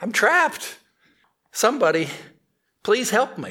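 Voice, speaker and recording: A high-pitched, put-on character voice from a man, moderate in pace. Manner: desperate, pleading.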